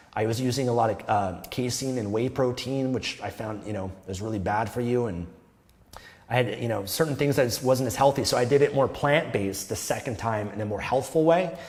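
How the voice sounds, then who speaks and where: This man speaks at a fairly quick pace with a Canadian accent, using a medium pitch and ordinary pitch variation. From Canada. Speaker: self-improvement youtuber. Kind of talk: casual monologue to camera. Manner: modulated, wide vocal range.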